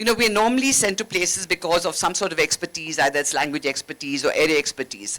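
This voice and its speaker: Speaking at a very fast pace in a Keralan accent, a woman with a fairly low pitch swings very widely in pitch, recorded with a dry, close sound and no echo. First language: Malayalam. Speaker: former ambassador, diplomat. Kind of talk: panel discussion.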